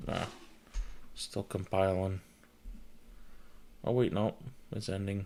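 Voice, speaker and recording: A man speaks with an American accent in a dark, mellow tone. His pace is very slow, with long, frequent pauses and fairly even intonation. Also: fairly low pitch for a man. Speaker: tech streamer. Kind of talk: casual livestream chat while installing Linux. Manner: casual, thinking aloud.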